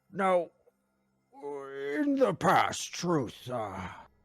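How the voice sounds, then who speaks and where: Putting on a character voice, a man speaks in a high pitch with a pompous tone. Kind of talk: comic overacting. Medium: actual play. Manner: pompous, lecturing.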